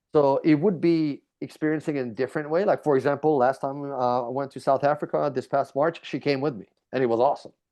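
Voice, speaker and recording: In a Hungarian accent, a man talks very fast with hardly any pauses, using a fairly high pitch and fairly even intonation. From Hungary. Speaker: BMX rider and reality TV contestant. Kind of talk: interview.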